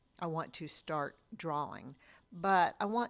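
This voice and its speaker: A woman with a fairly low pitch speaks at a very slow pace on a very clean recording with a silent background. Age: 70s. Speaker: artist and illustrator. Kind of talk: casual vlog monologue. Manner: halting, with many fillers.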